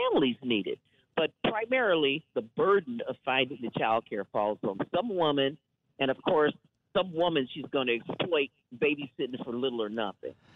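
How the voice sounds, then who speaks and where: In an American accent, a woman with a very deep, low pitch talks at a moderate pace, her pitch swinging very widely. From Wisconsin, US Midwest. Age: 70s. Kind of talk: radio interview.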